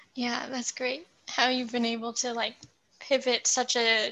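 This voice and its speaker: A woman speaks fairly slowly in a high voice with a bright, sharp tone. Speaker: podcast host. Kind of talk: interview.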